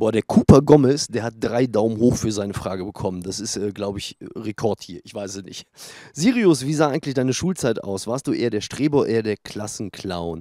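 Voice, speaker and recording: A man talks at a fairly quick pace with ordinary pitch variation, the sound dry with no echo and the background quiet. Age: 40s. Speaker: gaming YouTuber. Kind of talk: casual Q&A vlog. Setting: home studio, sunny room. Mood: relaxed, joking. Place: garden. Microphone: handheld.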